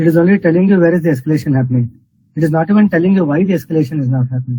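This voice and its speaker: A man talks at a very fast pace. His pitch is fairly high. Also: ordinary pitch variation. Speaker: hackathon jury member. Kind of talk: pitch feedback critique. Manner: firm, probing; too quiet at first.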